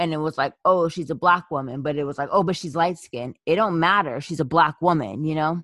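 A woman's very deep, low voice at a fairly quick pace with hardly any pauses and ordinary pitch variation, the sound dry and close with no echo against a quiet background. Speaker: podcast co-host. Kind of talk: casual chat.

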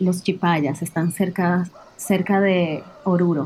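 Fairly slow and medium in pitch, a woman speaks with a dark, mellow tone. The recording is very clean, with a silent background. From Dominican Republic. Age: 20s. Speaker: traveler and storyteller. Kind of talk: personal testimony.

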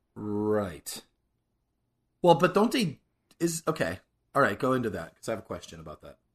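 With very wide pitch swings and big swings in loudness, a man of medium pitch speaks at a moderate pace, leaving long, frequent pauses. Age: 40s. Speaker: podcast co-host. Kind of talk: casual chat.

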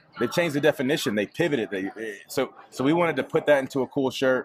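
Someone speaks in an American accent with noticeable background noise. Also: man. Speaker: entrepreneur, real estate agent and clothing brand owner. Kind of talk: casual chat. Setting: Instagram live video.

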